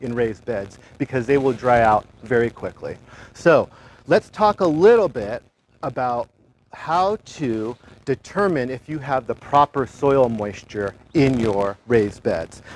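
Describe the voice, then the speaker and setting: A man's voice swings very widely in pitch at a fairly slow pace, with a dry, close sound and no echo. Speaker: master gardener program coordinator. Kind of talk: gardening demonstration. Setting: outdoors in a backyard garden, livestream. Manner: loud.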